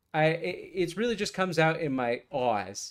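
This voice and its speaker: A man's lively intonation on a very clean recording with a silent background. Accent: slight Boston. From Massachusetts. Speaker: fishing YouTuber. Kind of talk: casual chat. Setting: live stream while gaming.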